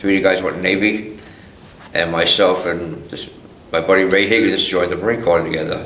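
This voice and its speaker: A man's very deep, low voice with fairly even intonation and audible room echo. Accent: American. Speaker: war veteran. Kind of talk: oral history interview. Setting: museum interview.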